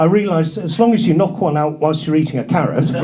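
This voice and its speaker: Talking at a very fast pace, a man with a North Yorkshire accent has a high pitch and ordinary pitch variation, with noticeable background noise and audible room echo. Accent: northern English (North Yorkshire). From northern England, North Yorkshire. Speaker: stand-up comedian. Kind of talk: stand-up. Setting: stage with audience.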